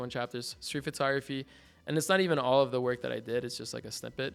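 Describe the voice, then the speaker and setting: Talking at a very fast pace, a man with a Mexican accent is heard in a very clean recording with a silent background. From Mexico. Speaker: art student. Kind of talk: casual interview. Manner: animated.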